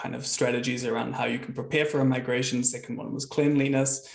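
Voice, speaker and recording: The voice carries a New Zealand accent and sounds somewhat breathy. The pace is fairly quick. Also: man. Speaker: software consultant and founder. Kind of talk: webinar presentation. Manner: casual, with frequent fillers.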